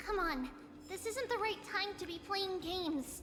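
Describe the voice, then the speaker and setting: A put-on character voice at an extremely high pitch, delivered at a moderate pace over clear background noise. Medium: video game. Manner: refers to itself in third person.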